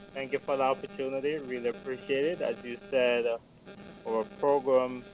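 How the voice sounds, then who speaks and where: Music plays in the background. A man with an American accent talks at a fairly quick pace and medium pitch. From Jamaica. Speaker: non-profit scholarship program director. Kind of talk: radio interview. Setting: studio.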